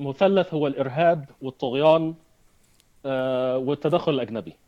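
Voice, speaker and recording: This man's voice sits fairly high in pitch, with ordinary pitch variation. He talks at a fairly slow pace. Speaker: entrepreneur and activist. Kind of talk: interview. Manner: halting with repetitions.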